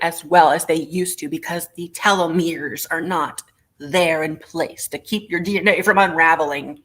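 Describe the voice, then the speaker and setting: A woman speaks with ordinary pitch variation. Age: 30s. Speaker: online vintage seller. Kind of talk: live sale stream. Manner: animated.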